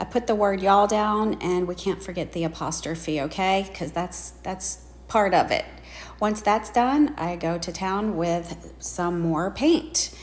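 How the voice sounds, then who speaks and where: A woman in a Southern US accent, medium in pitch, at a fairly slow pace with ordinary pitch variation. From US South. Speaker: craft video creator. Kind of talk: tutorial narration. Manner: casual, chatty.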